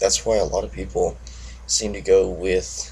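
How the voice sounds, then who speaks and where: The voice is quiet and moves at a moderate pace. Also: man. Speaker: motorcycle vlogger. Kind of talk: casual monologue vlog. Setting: at home early morning. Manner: monotone.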